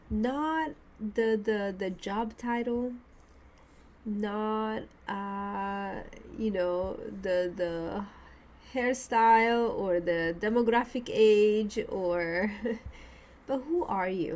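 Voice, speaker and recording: A woman speaks at a very slow pace with a fairly high pitch. Her speech has long, frequent pauses. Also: ordinary pitch variation. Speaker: career change coach and podcast host. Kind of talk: reflective podcast talk.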